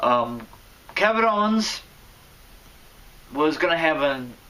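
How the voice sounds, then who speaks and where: Over noticeable background noise, a man with a fairly high pitch speaks at a fairly slow pace, his tone animated and his intonation lively. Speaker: wrestling commentary vlogger. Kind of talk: casual vlog commentary. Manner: loud at times; animated, stumbling.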